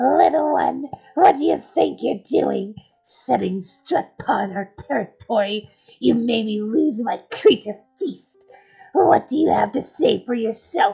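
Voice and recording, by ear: Faint music plays behind a woman doing a put-on character voice at a fairly high pitch and a fairly slow pace.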